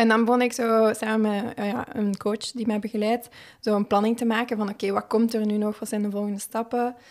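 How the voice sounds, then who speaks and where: Monotone, flat delivery with a Flemish accent. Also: woman. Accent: Flemish Dutch. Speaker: Olympic hurdler. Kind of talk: casual interview. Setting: studio.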